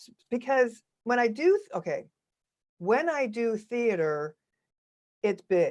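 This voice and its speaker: A woman sounds animated, her pitch swinging very widely. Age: 60s. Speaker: actress and on-camera coach. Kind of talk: podcast interview.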